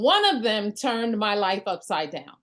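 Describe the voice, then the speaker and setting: A woman with a New York accent against a quiet background. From New York (Brooklyn). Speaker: network marketing leader. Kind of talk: motivational talk on a group call. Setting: group call. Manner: extemporaneous.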